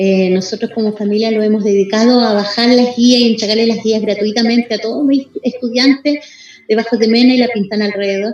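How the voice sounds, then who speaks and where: A woman talks at a fairly quick pace and a fairly high pitch. Her intonation is monotone and flat, with noticeable background noise. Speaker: community TV broadcaster. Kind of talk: casual chat. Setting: video call. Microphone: poor connection.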